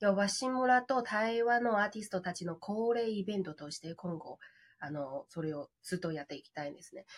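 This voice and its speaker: With a Chinese accent, a woman at medium pitch talks at a fairly quick pace, using lively intonation and big swings in loudness. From China. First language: Chinese (speaking Japanese). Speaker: glamping business owner. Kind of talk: interview.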